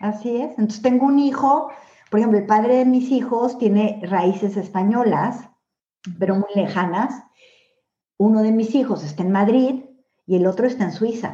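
A woman's somewhat breathy, dark, mellow voice at a fairly high pitch, with ordinary pitch variation, a moderate pace, long and frequent pauses, and audible room echo. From Mexico. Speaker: author. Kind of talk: interview.

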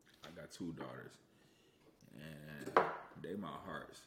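Audible room echo and noticeable background noise surround a man speaking with an American accent. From US Midwest, Aurora, Illinois. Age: 30s. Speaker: podcast co-host, musician and producer. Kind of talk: casual chat.

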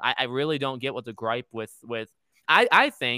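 On a very clean recording with a silent background and a dry, close sound with no echo, a man speaks at a medium pitch and moderate pace, his tone bright and sharp, with ordinary pitch variation. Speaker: YouTuber. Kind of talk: casual chat.

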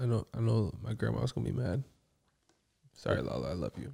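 Dark and mellow with vocal fry, a man's fairly low voice swings very widely in pitch at a moderate pace. The sound is dry and close, with no echo. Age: 20s. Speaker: podcast co-host. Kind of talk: casual chat.

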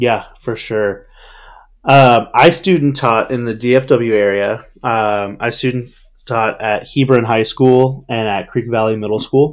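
With an American accent, a man delivers his words at a very slow pace, his medium pitch carrying fairly even intonation. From Texas Panhandle. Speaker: podcast host. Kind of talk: casual chat.

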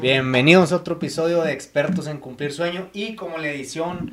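A plain, everyday voice: a man speaking at a moderate pace with ordinary pitch variation. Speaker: podcast host for a home builder. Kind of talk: casual interview.

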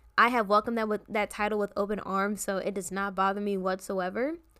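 With an American accent, a woman talks at a fairly quick pace. Her pitch is medium and her tone bright and sharp. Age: 20s. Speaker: podcast host, college student. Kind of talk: casual solo podcast monologue.

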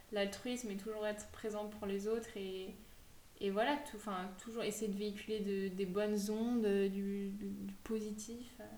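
Over noticeable background noise and audible room echo, a woman speaks at a medium pitch and moderate pace with monotone, flat intonation. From France, Savoie (Aix-les-Bains). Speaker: podcast host. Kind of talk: casual interview chat.

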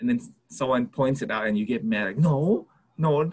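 This man's voice sits fairly high and sounds somewhat breathy. His pitch moves in very wide swings. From Hawaii. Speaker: podcast co-host. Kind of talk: casual chat.

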